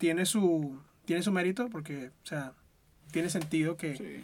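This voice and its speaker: A man speaks with a Venezuelan accent at a high pitch, his pitch varying in an ordinary way. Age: 20s. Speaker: podcast host. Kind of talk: casual chat.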